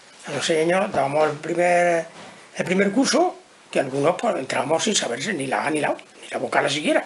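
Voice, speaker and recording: Against noticeable background noise, a man speaks at a fairly quick pace in a high pitch with ordinary pitch variation. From Andalusia, Almería. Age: 70s. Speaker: retired teacher. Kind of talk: interview testimony. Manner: halting.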